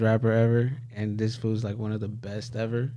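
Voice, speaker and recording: A man with an American accent speaks fairly quickly in a dark, mellow, medium-pitched voice, with audible room echo. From small town in the northern US. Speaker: hip hop artist and filmmaker. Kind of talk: casual chat.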